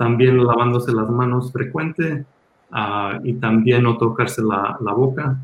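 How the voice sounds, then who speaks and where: Here a man talks at a fairly slow pace. His pitch is medium and his intonation fairly even. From Los Angeles, raised there after emigrating from Mexico at six. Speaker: hospital physician. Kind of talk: panel talk with slides at a community health town hall. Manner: halting, many filler sounds.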